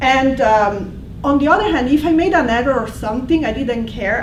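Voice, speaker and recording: Recorded with noticeable background noise and audible room echo, a woman talks in a high voice with an Italian accent. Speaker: language instructor. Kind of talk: presentation. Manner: halting.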